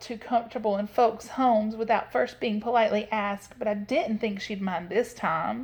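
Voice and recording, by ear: With fairly even intonation, the passage is read aloud in a natural voice.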